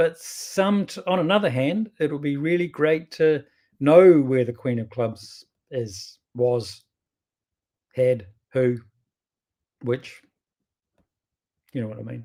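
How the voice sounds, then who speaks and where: With a strong New Zealand accent, a man speaks in a dark, mellow tone with lively intonation. His pace is very slow, broken by long, frequent pauses. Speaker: bridge teacher. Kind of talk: casual commentary on card play. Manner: chatty, hesitant with restarts.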